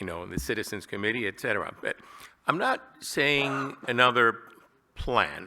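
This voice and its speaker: A loud voice with a bright, sharp tone speaks at a moderate pace with ordinary pitch variation. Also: man. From Cuba. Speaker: budget committee member and emergency management director. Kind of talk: public comment at meeting. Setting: town hall meeting room.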